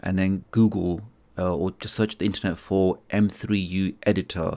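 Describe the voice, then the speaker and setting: In a very clean recording with a silent background, a man speaks at a very deep, low pitch with fairly even intonation. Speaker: tech YouTuber answering viewer questions. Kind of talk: live stream Q&A. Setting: live stream. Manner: fast.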